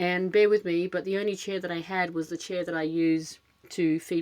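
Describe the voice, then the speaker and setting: A woman with an Australian accent talks at a moderate pace with fairly even intonation and a fairly low pitch. The background is quiet. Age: middle-aged. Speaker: podcast host, dog rescuer. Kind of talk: casual monologue. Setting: home closet with cushions. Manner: fidgety, many filler words.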